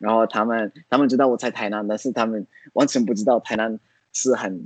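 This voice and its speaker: The sound is dry and close with no echo as a man of medium pitch talks at a moderate pace with ordinary pitch variation. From Italy, Florence. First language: Italian (speaking Chinese). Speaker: language learner and traveler. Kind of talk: interview. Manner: halting, frequent fillers.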